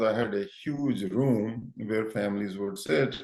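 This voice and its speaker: Through noticeable background noise, the speech carries lively intonation. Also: man. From India, Punjab. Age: 60s. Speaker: neuroscientist and doctor. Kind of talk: interview. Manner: halting with fillers.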